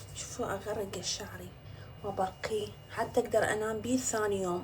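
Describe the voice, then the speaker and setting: Against noticeable background noise, a woman speaks at a medium pitch and a moderate pace in a monotone, flat intonation. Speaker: social media influencer. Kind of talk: casual vlog talk to camera. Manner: chatty.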